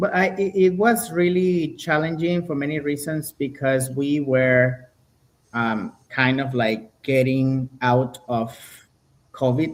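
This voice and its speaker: A man's fairly high voice with a Spanish accent, very slow pace, and lively intonation. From Venezuela. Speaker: violinist. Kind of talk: interview.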